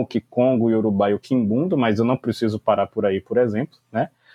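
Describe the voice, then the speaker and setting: A man with a Bahian accent, at a moderate pace. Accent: Bahian Brazilian Portuguese. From Brazil, Salvador (Bahia). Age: 20s. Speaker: English teacher and language school founder. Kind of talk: casual interview.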